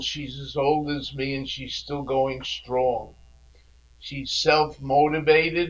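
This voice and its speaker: A fairly high-pitched man at a very slow pace, monotone and flat in intonation, with big swings in loudness and noticeable background noise. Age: 80s+. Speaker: podcast host. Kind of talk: podcast introduction.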